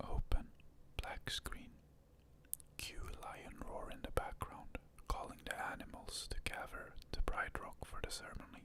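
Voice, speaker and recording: Whispering, a man speaks at a fairly slow pace. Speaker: ASMR content creator. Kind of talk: ASMR script reading of a movie. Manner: whispered, soft-spoken.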